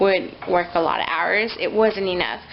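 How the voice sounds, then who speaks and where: At a moderate pace and medium pitch, a woman talks over noticeable background noise. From US, moved from Mexico City at two and a half. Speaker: vlogger and young mother. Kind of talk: casual vlog monologue. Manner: halting, many fillers; loud.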